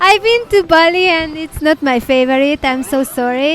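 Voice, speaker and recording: Over music in the background, a woman with a non-native accent speaks fairly slowly with ordinary pitch variation. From Hungary. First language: Hungarian. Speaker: travel vlogger. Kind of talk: casual to-camera vlog talk. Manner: halting, with false starts.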